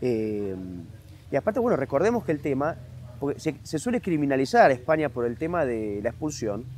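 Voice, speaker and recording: Talking at a fairly quick pace, a man's voice makes very wide pitch swings. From Argentina, Buenos Aires. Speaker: author and historian. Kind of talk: interview. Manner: fast.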